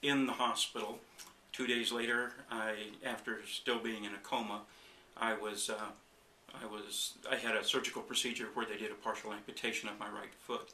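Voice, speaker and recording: A man talks at a moderate pace with medium pitch and monotone, flat intonation. The recording carries audible room echo and noticeable background noise. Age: 60s. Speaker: chiropractic patient. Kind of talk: testimony. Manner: halting, with fillers.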